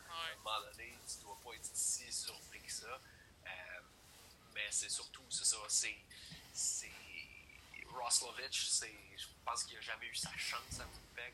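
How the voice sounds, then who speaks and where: With long, frequent pauses, a man talks very slowly. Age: 30s. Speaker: hockey commentator. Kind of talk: casual sports chat.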